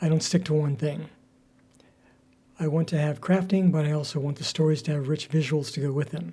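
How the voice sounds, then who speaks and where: The voice is somewhat breathy with a dark, mellow tone. Delivery is flat and monotone at a fairly quick pace. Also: man. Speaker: crafter and storyteller. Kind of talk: casual talk to camera.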